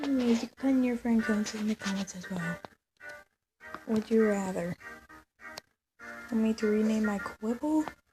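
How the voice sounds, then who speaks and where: A woman with a fairly high voice speaks at a moderate pace with ordinary pitch variation, leaving long, frequent pauses while music plays in the background. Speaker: mobile game video uploader. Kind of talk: casual gaming talk to viewers.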